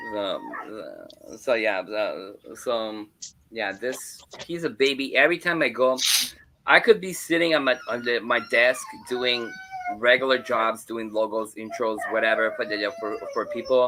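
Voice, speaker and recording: A man at medium pitch talks over noticeable background noise. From Ontario, Canada (Hamilton). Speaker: graphic designer and paranormal streamer. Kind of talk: casual chat. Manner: halting, many fillers and repeats.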